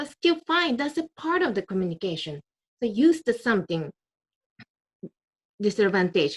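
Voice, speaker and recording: A woman speaks at a moderate pace in a fairly high, somewhat breathy voice with very wide pitch swings and long, frequent pauses. The sound is dry and close, without echo. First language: Japanese. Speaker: public speaking club member. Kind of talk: impromptu speech. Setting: video call.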